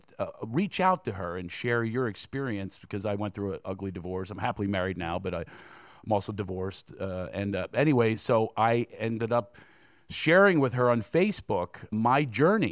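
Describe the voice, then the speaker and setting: This man has a normal speaking voice at a medium pitch, with lively intonation and a moderate pace, recorded very cleanly against a silent background. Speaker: comedian. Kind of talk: comedic interview on stage. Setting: stage with audience.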